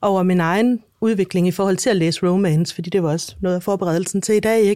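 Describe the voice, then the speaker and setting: In a very clean recording with a silent background, a woman of medium pitch talks at a moderate pace and with fairly even intonation. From Denmark. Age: 40s. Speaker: author. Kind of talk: interview. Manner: halting.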